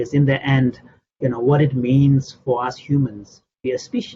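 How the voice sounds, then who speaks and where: A man's somewhat breathy, medium-pitched voice with a Tibetan accent, at a moderate pace. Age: 60s. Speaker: Buddhist scholar and translator. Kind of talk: interview answering audience questions. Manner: halting, repeats words.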